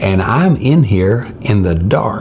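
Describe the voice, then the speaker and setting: Pitch swings very widely while noticeable background noise and audible room echo fill the recording. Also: man. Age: 70s. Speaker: preacher. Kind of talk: sermon with personal story. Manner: halting, frequent uh fillers.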